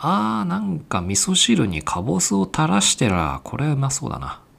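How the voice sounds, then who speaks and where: A man speaks with very wide pitch swings. Vocal fry runs through his voice. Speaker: podcast host. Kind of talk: casual chat.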